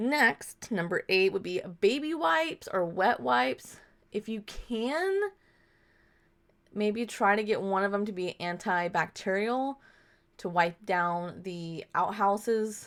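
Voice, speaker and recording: A woman talks at a very slow pace with lively intonation. The recording is very clean, with a silent background. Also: medium pitch for a woman. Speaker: vlogger. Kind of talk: casual tutorial vlog. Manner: casual, conversational.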